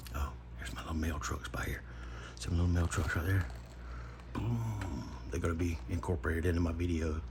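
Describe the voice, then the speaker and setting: A man whispers quietly with vocal fry, at a fairly quick pace broken by long, frequent pauses. Room echo is audible. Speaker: knife modder / YouTuber. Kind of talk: casual tutorial. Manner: quiet, half-whispering; casual, chatty.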